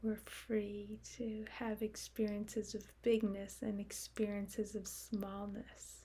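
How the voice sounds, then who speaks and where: A woman speaks at a medium pitch in a calm, dark, mellow tone with vocal fry. Her delivery is very slow and monotone, with flat intonation and hardly any pauses. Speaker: meditation guide. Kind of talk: guided meditation. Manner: slow, calm, with long pauses.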